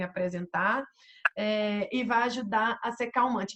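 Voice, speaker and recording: A woman speaks in an ordinary speaking voice. Her pitch is fairly high and her intonation fairly even. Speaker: essential oils consultant presenter. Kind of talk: online presentation. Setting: video call with screen sharing.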